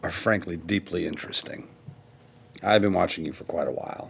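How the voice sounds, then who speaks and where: A man's put-on character voice, raspy and fairly low-pitched, with big swings in loudness and a fairly quick pace. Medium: actual play. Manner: casual, smug.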